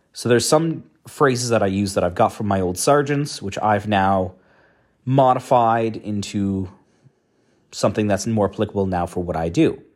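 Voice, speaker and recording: A man with a Canadian accent and a plain, everyday voice, fairly low in pitch, at a moderate pace with ordinary pitch variation, in a very clean recording with a silent background. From Canada. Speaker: academic and coin expert. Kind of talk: solo monologue vlog. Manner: casual, conversational with fillers.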